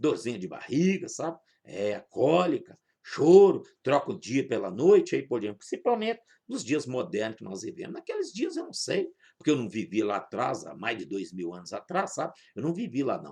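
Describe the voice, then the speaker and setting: A man's voice at a moderate pace, with big swings in loudness. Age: 60s. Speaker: pastor. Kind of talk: sermon.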